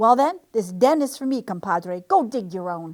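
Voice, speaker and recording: A woman puts on a growling character voice at a fairly high pitch and moderate pace, in a very clean recording with a silent background. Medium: read story. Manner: growling, snarling.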